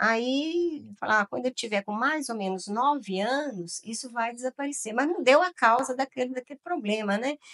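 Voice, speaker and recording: Recorded with a dry, close sound and no echo, a woman speaks at a moderate pace in a high pitch with lively intonation. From Minas Gerais, Brazil. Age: 70s. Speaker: retired educator. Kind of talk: interview. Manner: animated.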